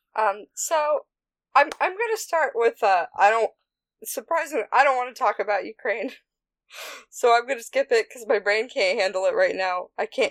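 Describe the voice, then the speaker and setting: Very wide pitch swings run through the speech at a moderate pace. The sound is dry and close, with no echo. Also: woman. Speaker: podcast co-host. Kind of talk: casual chat.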